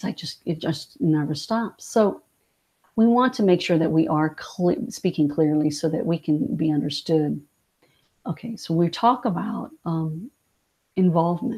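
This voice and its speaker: A woman speaks slowly, somewhat breathy, with a fairly low pitch and a dark, mellow tone. Her intonation is lively, and the pace is fairly slow. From born in France, raised in US from age six. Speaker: director of a family health information center. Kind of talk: webinar presentation. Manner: halting with many fillers.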